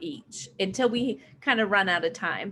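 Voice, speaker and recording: An ordinary speaking voice comes through with ordinary pitch variation. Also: woman. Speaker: online Spanish teacher. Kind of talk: live online lesson.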